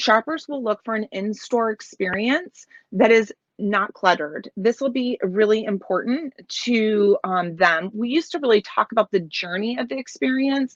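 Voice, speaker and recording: The recording has a dry, close sound with no echo. A woman speaks at a moderate pace with a fairly high pitch and lively intonation. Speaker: keynote speaker, business executive. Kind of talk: keynote talk. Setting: video call from home office in trailer. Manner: loud; hesitant, many fillers.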